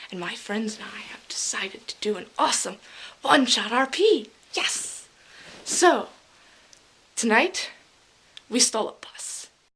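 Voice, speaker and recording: A whispered voice with long, frequent pauses and big swings in loudness. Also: woman. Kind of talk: casual vlog recap to camera. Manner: enthusiastic.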